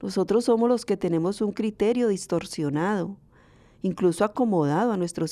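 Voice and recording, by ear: Lively intonation marks a woman's voice, which has a dark, mellow tone.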